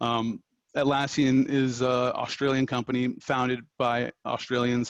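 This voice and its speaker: In a monotone, flat intonation, a man talks at a medium pitch. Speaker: technical writer. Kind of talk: presentation to student group. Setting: talk at a student club meeting. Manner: fast; hesitant, many fillers.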